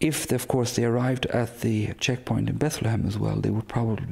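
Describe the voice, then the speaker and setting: Using a medium pitch, a man talks in an Irish accent. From west of Ireland. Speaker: priest. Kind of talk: interview. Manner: halting, with fillers.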